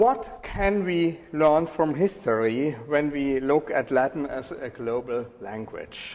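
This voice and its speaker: A speaker with a German accent talks at a very slow pace with lively intonation. Noticeable background noise runs underneath. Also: man, fairly high pitch for a man. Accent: German accent, non-native English. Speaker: professor. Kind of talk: lecture. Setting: university lecture hall with audience.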